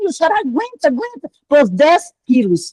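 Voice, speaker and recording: The sound is dry and close with no echo. A woman speaks fairly quickly. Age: 60s. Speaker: club member asking a question. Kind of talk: casual chat.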